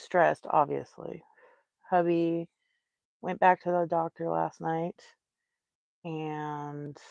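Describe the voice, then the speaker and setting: A woman speaks at a very slow pace and fairly low pitch, with fairly even intonation and a dry, close sound with no echo. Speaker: crochet livestreamer. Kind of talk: casual livestream chat. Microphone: no microphone on.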